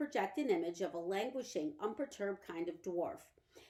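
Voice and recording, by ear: The intonation here is lively. Someone is reading aloud in a natural voice.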